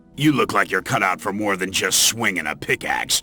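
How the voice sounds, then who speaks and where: Clear music plays in the background. Over it, a put-on character voice speaks at a moderate pace. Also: man. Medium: video game. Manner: gruff, sardonic, condescending.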